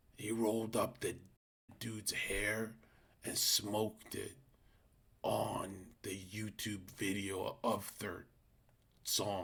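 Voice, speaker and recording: Pausing long and often, a man speaks very slowly at a fairly low pitch in a monotone, flat voice. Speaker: live streamer. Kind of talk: casual live-stream chat. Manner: speaking in a lower voice.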